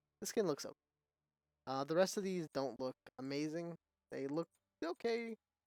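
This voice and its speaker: With lively intonation, a man speaks at a moderate pace in a dry, close sound with no echo. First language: not English. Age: 30s. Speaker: gaming content creator. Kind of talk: casual gameplay commentary. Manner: halting, many fillers and restarts.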